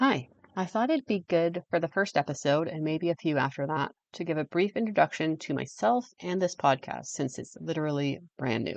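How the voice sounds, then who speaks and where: Against a quiet background, a woman with a strong Canadian accent speaks at a moderate pace in a very deep, low pitch with lively intonation. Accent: heavy Canadian. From English-speaking Canada. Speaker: podcast host. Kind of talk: scripted podcast monologue.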